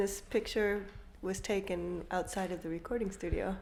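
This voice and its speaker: There is audible room echo as a woman speaks at a moderate pace with a medium pitch. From US Midwest, Iowa. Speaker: singer-songwriter. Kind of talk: interview.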